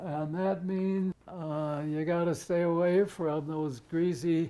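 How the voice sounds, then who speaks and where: Speaking very slowly, a man has a high pitch, fairly even intonation and a dark, mellow tone. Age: 80s+. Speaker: retired orthodontist. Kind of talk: interview answer.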